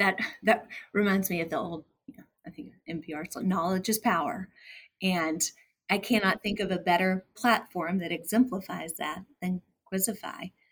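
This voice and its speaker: A woman's somewhat breathy voice at medium pitch, with ordinary pitch variation, a moderate pace and big swings in loudness. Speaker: podcast co-host. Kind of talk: interview chat.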